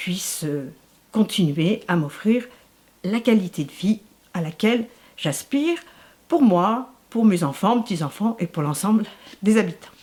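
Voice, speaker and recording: Somewhat breathy woman's voice at medium pitch, fairly slow with long, frequent pauses and very wide pitch swings. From Paris region, France. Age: 60s. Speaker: retired social worker, local election candidate. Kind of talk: interview.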